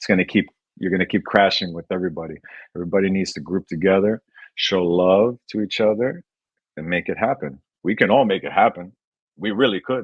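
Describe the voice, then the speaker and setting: A man's very deep, low voice at a fairly quick pace, with long, frequent pauses and ordinary pitch variation. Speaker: breakdancer. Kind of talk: interview. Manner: loud.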